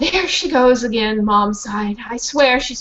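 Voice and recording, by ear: Ordinary rises and falls in pitch, in a natural voice reading aloud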